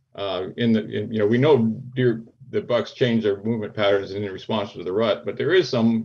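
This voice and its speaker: Over a quiet background, a man with an American accent speaks at a moderate pace with ordinary pitch variation. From US Northeast (Pennsylvania). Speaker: wildlife biologist and deer researcher; guest. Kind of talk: interview. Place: home room. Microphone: video call.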